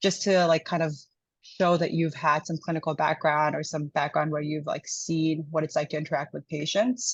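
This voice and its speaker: Over a quiet background, a woman speaks at a moderate pace in a very deep, low pitch, somewhat breathy and with fairly even intonation. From India. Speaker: internal medicine resident doctor. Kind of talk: interview answer. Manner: casual, conversational.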